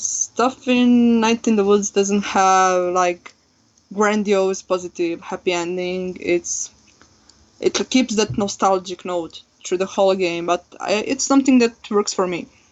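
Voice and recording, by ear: The delivery moves at a fairly slow pace. A non-native accent is audible.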